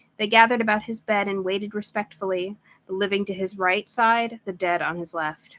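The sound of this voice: An unforced reading voice with fairly even intonation.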